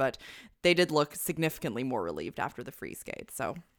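Vocal fry in an animated tone at a very fast pace, lively intonation throughout, on a very clean recording with a silent background. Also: woman. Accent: Canadian. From Canada. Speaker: podcast co-host. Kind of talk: casual chat. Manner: laughs often, animated.

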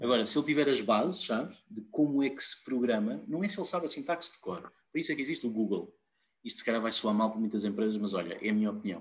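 Speaking at a very fast pace, a man with a medium pitch swings his pitch very widely. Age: 30s. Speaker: IT operations director. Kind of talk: casual interview.

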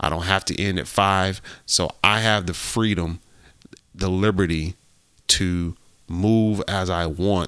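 Using an American accent, a man with a very deep, low pitch and a bright, sharp tone speaks at a fairly slow pace with fairly even intonation. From US Midwest, Ohio. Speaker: podcast co-host. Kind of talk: casual chat.

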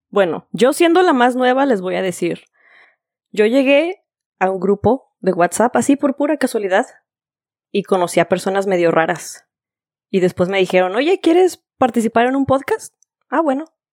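A woman speaks at a moderate pace with a fairly high pitch, very wide pitch swings and long, frequent pauses. The recording is very clean with a silent background, and the sound is dry and close with no echo. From Guadalajara, Mexico. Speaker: podcast co-host. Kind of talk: casual chat.

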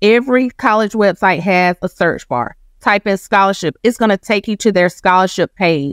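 In a normal speaking voice, a woman of medium pitch speaks with ordinary pitch variation, the sound dry and close with no echo on a very clean recording with a silent background. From Georgia (Macon), US South. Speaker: college scholarship consultant. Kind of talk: interview. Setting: studio.

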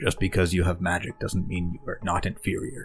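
A man does a put-on character voice at a very deep, low pitch and a fairly quick pace. Faint music plays in the background. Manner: haughty, cold, superior.

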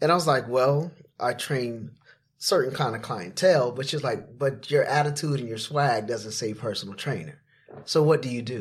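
Speaking with an American accent, a man uses a somewhat breathy voice at medium pitch, a moderate pace and ordinary pitch variation. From Florida. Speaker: personal trainer and TV creator. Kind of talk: casual interview storytelling.

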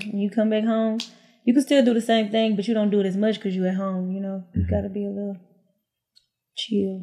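A woman with an American accent speaks at a very fast pace in a somewhat breathy, dark, mellow tone, her intonation monotone and flat, broken by long, frequent pauses. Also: medium pitch for a woman. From Houston, Texas. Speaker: reality TV personality, former stripper. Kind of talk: casual interview chat.

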